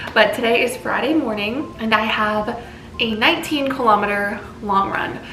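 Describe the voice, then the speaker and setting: Her pitch fairly high, a woman talks at a moderate pace with ordinary pitch variation. Noticeable background noise and audible room echo are present. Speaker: fitness vlogger. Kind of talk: casual vlog talk to camera. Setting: outdoors on a run. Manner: whispering.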